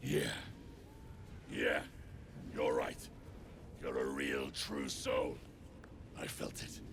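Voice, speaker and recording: A man's put-on character voice at a very slow pace, full of long, frequent pauses, over clear background noise. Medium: video game. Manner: rough, coarse slang.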